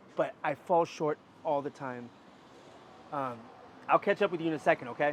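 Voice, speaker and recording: Recorded with a dry, close sound and no echo, a man speaks with an American accent in a fairly high pitch. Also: ordinary pitch variation, moderate pace. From US Pacific Northwest, Portland. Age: 30s. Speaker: street musician. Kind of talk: interview. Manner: halting; talkative.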